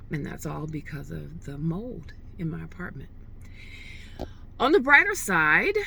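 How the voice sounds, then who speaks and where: A woman speaks fairly slowly, with long, frequent pauses. Room echo is audible. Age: 60s. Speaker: vlogger. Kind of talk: casual vlog monologue. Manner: hesitant, with many fillers.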